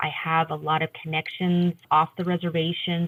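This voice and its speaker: Her pitch fairly low, a woman talks at a moderate pace with monotone, flat intonation. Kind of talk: interview answer.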